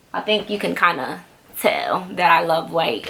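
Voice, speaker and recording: A woman's pitch moves normally while noticeable noise sits in the background. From Dominican Republic. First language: Spanish. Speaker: YouTube vlogger. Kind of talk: casual Q&A vlog. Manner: fast.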